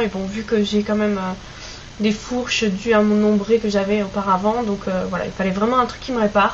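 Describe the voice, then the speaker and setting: Over noticeable background noise, a woman with a Basque accent talks at a moderate pace in a medium-pitched, monotone, flat voice. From French Basque Country. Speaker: beauty vlogger. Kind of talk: product review vlog. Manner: hesitant, many fillers.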